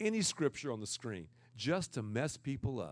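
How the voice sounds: A loud man at a moderate pace, with lively intonation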